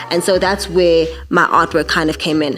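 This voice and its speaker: Here a woman speaks at a fairly low pitch and a fairly quick pace. Background noise is noticeable. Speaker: podcaster and masterclass presenter. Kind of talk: tutorial. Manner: conversational, some stammering.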